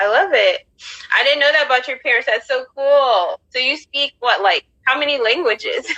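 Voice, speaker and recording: A woman's raised, projected voice at a high pitch, in an American accent, at a moderate pace, with a dry, close sound and no echo. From United States. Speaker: podcast host. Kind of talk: casual chat. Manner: animated.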